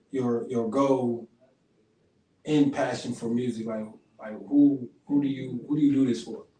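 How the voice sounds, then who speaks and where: A man with a dark, mellow tone speaks at a medium pitch and a fairly slow pace, using fairly even intonation, big swings in loudness, and long, frequent pauses. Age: 30s. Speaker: podcast host. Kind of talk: casual interview. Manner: halting.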